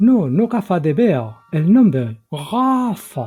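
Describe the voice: A man puts on a character voice that is guttural and high-pitched, speaking very slowly with very wide pitch swings.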